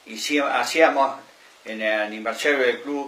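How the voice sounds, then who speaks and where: A man speaks with audible room echo around him. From Argentina, Buenos Aires province countryside. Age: 70s. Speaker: former municipal delegate, local elder. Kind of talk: interview testimony. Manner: hesitant, many fillers.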